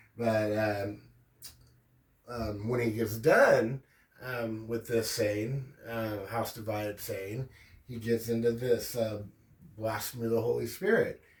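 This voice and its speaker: In a room with audible echo, a man talks very slowly in a medium pitch, somewhat breathy and monotone, with long, frequent pauses. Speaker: religion commentary youtuber. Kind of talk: casual lecture. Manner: slow, deliberate enunciation; frequent fillers (um, uh).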